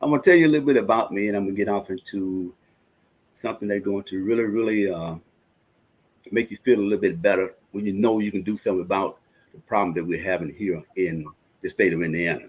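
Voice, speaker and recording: A man with a Mississippi accent speaks in an animated tone at a very fast pace, his fairly low pitch showing ordinary pitch variation. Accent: Mississippi Southern. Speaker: energy technology presenter. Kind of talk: casual chat.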